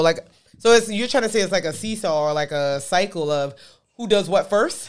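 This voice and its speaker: A woman speaks fairly quickly with a New York accent and lively intonation. The recording is very clean, with a silent background. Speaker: podcast co-host. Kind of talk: casual chat. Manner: fast talker.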